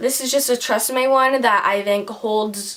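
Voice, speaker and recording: Through noticeable background noise, a woman talks with ordinary pitch variation. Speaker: beauty vlogger. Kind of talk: product review tutorial. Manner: fast; casual, filler-heavy.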